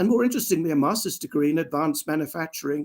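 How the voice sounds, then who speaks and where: With an English accent, a man speaks at a high pitch using lively intonation. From England. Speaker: industrial automation engineer. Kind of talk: interview. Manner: formal.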